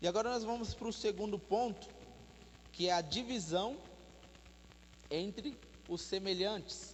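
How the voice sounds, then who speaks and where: A high-pitched man at a fairly slow pace, with ordinary pitch variation, long, frequent pauses and audible room echo. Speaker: preacher. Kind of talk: sermon. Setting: church.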